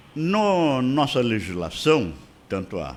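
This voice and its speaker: Speaking at a very slow pace, a man has a medium-pitched voice. His pitch swings very widely. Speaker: lawyer and radio commentator. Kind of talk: radio commentary.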